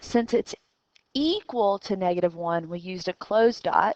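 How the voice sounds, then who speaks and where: An ordinary speaking voice, this woman's is fairly high-pitched, with lively intonation at a moderate pace in a dry, close recording with no echo. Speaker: math teacher. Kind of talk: recorded lesson.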